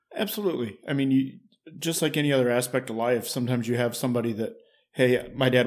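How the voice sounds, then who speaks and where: A man with an American accent, very fast pace and fairly even intonation. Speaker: fire captain. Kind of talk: interview.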